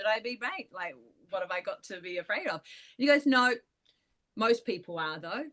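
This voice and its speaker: A woman with a New Zealand accent uses lively intonation. Her voice is fairly high. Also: quiet background. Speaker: paranormal storyteller. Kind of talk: storytelling in casual chat.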